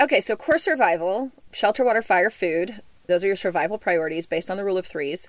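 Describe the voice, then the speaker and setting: A woman talks with an American accent at a medium pitch, in an unremarkable speaking voice. Her pace is fairly quick and her intonation lively. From US South, Memphis, Tennessee. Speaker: wilderness survival guide. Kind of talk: interview; tutorial. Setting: inside a converted bus.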